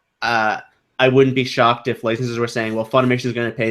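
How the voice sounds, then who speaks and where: A man at a medium pitch, very fast and monotone with flat intonation, in a very clean recording with a silent background. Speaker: anime podcast co-host. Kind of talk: casual chat.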